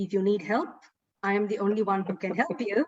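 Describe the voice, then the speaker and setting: A woman speaks in a somewhat breathy voice. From Sri Lanka. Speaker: broadcaster and actor. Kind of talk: interview.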